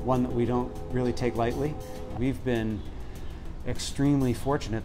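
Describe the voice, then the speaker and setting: Ordinary pitch variation over faint music in the background. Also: man. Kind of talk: interview answer. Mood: warm, proud. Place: cafe. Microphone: lapel.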